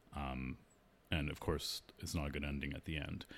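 A man with a Canadian accent and vocal fry talks fairly quickly on a very clean recording with a silent background. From Canada, Toronto. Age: 30s. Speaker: opera singer. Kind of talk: casual interview.

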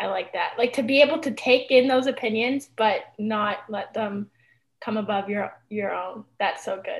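Her voice fairly high and somewhat breathy, a woman speaks with big swings in loudness. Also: ordinary pitch variation, moderate pace. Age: 20s. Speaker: podcast host. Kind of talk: casual chat.

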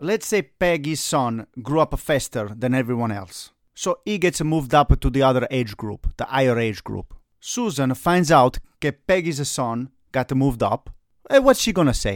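A man with an Italian accent speaks at a moderate pace and medium pitch with lively intonation, in a dry, close sound with no echo on a very clean recording with a silent background.

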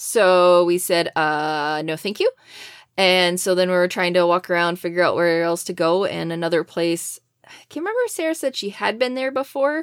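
A woman's fairly low, unremarkable speaking voice in an American accent, at a moderate pace with ordinary pitch variation and big swings in loudness, on a very clean recording with a silent background. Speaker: podcast co-host. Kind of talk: casual chat.

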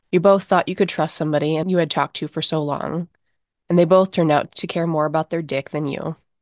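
In a dry, close recording with no echo and a quiet background, a woman with a very deep, low voice speaks very fast in an intense, dramatic tone with fairly even intonation. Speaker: horror story narrator and podcast host. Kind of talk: second-person horror narration, read aloud. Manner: tense, intense, building suspense, vivid and dramatic.

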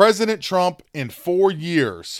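A man with a plain, everyday voice speaks in an American accent at a fairly high pitch, with lively intonation and a fairly slow pace. The sound is dry and close with no echo, on a very clean recording with a silent background. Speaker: podcast host. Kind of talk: political commentary monologue.

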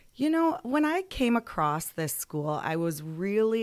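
A woman speaks with an Upper Midwest accent. Her pace is fairly slow. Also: very clean recording, silent background. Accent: Upper Midwest American. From Michigan, Lansing area. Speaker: school principal. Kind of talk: interview.

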